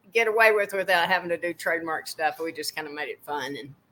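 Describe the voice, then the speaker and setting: A woman speaks fairly quickly in a Texan accent, her tone bright and sharp. Her pitch is fairly low, with ordinary variation. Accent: Texan American. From Texas (McKinney). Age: 60s. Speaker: boot designer and painter. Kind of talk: interview.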